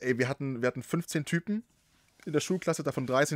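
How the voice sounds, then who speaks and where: Recorded very cleanly against a silent background, a man speaks in a relaxed tone. The sound is dry and close with no echo, and his pitch varies in an ordinary way. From Saxony, Germany. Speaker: podcast host and broadcaster. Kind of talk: casual interview chat. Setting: podcast studio.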